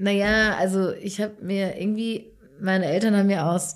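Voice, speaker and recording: Recorded very cleanly against a silent background, a woman with a dark, mellow tone speaks at a moderate pace with fairly even intonation. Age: 30s. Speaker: podcast co-host. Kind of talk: casual chat.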